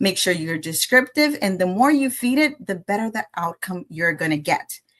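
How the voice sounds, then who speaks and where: A woman speaks with a Spanish accent at a medium pitch. Her pitch swings very widely. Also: moderate pace. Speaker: AI educator. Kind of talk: presentation.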